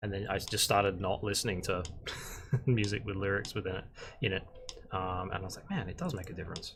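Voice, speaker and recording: Delivered at a very fast pace in an Australian accent, the speech is broken by long, frequent pauses. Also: man, fairly low pitch for a man, fairly even intonation. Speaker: concept artist and art instructor. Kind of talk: live-stream tutorial. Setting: live stream. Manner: monotone; casual with frequent fillers.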